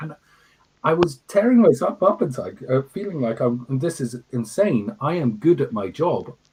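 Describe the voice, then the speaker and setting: With an English accent, a man speaks at a moderate pace using very wide pitch swings. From Scotland, Fife countryside, from age two. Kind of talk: interview. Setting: livestream. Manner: halting, repeats words.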